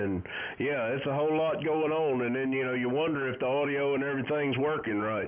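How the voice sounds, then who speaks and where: A man talks with a Southern US accent and ordinary pitch variation. Audible room echo surrounds his voice. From US South, Alabama Gulf Coast. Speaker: amateur radio operator. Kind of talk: casual chat. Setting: radio contact.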